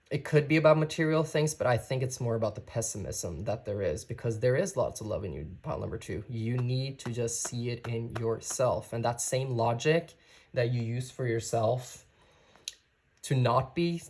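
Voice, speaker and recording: Somewhat breathy, a man speaks at medium pitch and a moderate pace with ordinary pitch variation. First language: not English. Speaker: tarot reader. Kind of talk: tarot reading. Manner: casual, conversational.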